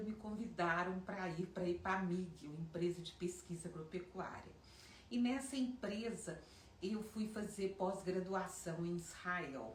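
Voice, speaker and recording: Speech comes at a fairly slow pace with ordinary pitch variation. Noticeable background noise and audible room echo are present. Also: woman. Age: 60s. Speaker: fashion designer. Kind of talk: personal storytelling.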